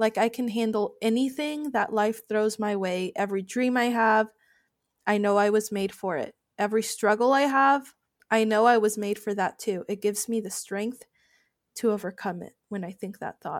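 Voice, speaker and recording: In a very clean recording with a silent background, a woman with a fairly high pitch uses a normal speaking voice at a moderate pace with fairly even intonation. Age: 20s. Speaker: podcast host and life coach. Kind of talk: motivational monologue.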